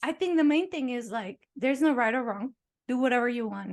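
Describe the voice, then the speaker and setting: A non-native accent against a quiet background. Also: woman. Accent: noticeable foreign. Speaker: podcast host, dancer and author. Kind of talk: casual chat.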